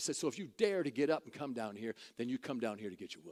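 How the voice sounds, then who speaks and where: A man speaks in an animated tone with vocal fry at a fairly quick pace. His pitch swings very widely. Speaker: preacher / minister. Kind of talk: storytelling to an audience. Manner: animated, humorous, conversational.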